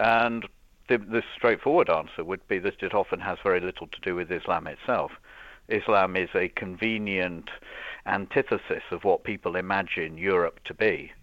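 In a normal speaking voice, a man talks at a moderate pace, fairly low in pitch and with fairly even intonation. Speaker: professor. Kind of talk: radio interview. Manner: articulate, academic.

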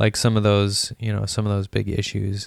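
The man's voice sits at a fairly low pitch. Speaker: podcast co-host. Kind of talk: casual chat. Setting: home recording.

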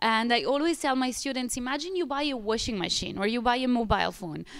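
A woman's fairly high pitch and lively intonation on a very clean recording with a silent background. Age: 30s. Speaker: pilates studio owner. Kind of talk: interview. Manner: animated.

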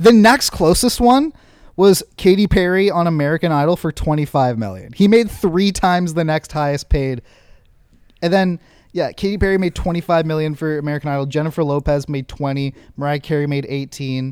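Heard over a silent background in a very clean recording, a man uses a normal speaking voice, fairly high in pitch, with ordinary pitch variation at a moderate pace. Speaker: podcast co-host. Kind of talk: casual banter.

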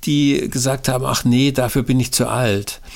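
This man talks at a very slow pace, his voice sitting at a medium pitch. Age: 60s. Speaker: pastor and author. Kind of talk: interview. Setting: recorded at home, file sent.

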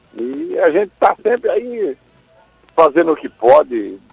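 Music plays behind a man speaking at a fairly slow pace. The sound is dry and close, with no echo. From Brazil, Ceará (Acopiara). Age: 70s. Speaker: bereaved father of a late musician. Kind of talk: radio interview.

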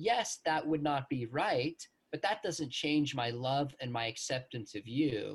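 Lively intonation marks this man's speech. He keeps a moderate pace, and his voice is somewhat breathy. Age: 40s. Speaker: professor. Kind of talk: interview.

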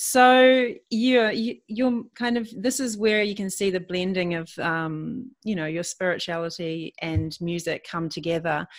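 A woman with an ordinary speaking voice and medium pitch talks at a fairly slow pace with lively intonation. She barely pauses, and the recording is very clean with a silent background. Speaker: podcast host and retreat leader. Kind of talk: interview chat.

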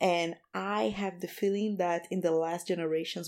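A woman with a Portuguese accent, fairly low in pitch, at a moderate pace with ordinary pitch variation, on a very clean recording with a silent background. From Brazil, Rio de Janeiro. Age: 30s. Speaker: community founder, activist. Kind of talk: casual interview.

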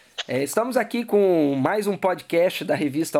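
Here the pace is fairly slow. The recording is very clean, with a silent background. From Cachoeiro de Itapemirim, Espírito Santo, Brazil. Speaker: sports magazine podcast host. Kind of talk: interview.

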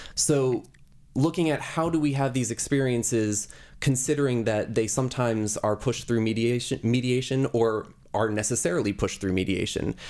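With an unremarkable speaking voice, a man at a medium pitch talks at a fairly quick pace, his loudness very even and his pitch variation ordinary. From New Jersey. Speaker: artist. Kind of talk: interview.

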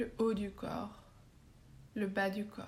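The voice has a soothing, calm tone and moves at a very slow pace. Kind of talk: guided meditation (yoga nidra) for sleep, star-sky visualisation. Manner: slow, soft-spoken, soothing, with long pauses; calm, gentle, hypnotic, even pace.

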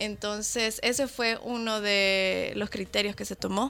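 A woman with an unremarkable speaking voice talks at a fairly high pitch with fairly even intonation. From Guatemala. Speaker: documentary producer and editor. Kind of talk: interview.

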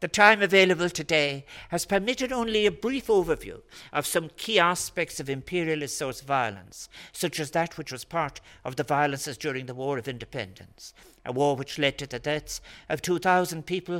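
In an Irish accent, a man talks at a fairly quick pace with a bright, sharp tone, fairly high pitch and lively intonation. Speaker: public speaker giving an address. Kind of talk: formal address. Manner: formal.

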